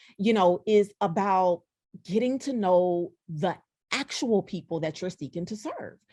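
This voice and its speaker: This woman talks at a fairly slow pace. She speaks in a Southern US accent. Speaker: diversity speaker and consultant. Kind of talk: podcast interview.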